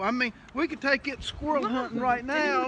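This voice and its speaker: A man speaks in a raised, projected voice with an American accent and an extremely high pitch. His pace is moderate, his pitch varies in an ordinary way, and background noise is noticeable. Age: 60s. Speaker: knife and gun maker. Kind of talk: casual chat. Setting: workshop.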